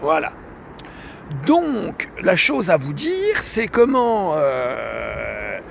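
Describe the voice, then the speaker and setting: Noticeable background noise runs under the recording. A man is the one speaking. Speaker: vlogger. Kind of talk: personal video complaint monologue. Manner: halting, many hesitations.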